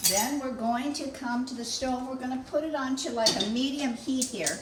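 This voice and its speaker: A woman with a high voice speaks at a fairly slow pace over noticeable background noise. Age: 70s. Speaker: home cooking channel host. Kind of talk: cooking tutorial. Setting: home kitchen. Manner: chatty, folksy.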